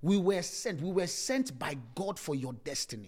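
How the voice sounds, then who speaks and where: A man speaks with lively intonation and a somewhat breathy sound. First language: not English. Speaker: pastor. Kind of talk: sermon. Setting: church service, streamed live with a few people present.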